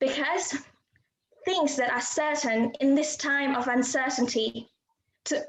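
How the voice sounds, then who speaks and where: With a high pitch, a woman speaks in fairly even intonation. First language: not English. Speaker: university student. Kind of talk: prepared speech. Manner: formal.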